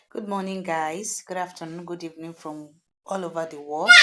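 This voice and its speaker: Bright and sharp in tone, a woman speaks with a southwestern Nigerian accent. Her intonation is monotone and flat, and her pace moderate. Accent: Nigerian Yoruba-accented English. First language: Yoruba. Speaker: cooking vlogger. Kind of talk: casual voiceover narration of cooking video. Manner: hesitant, informal.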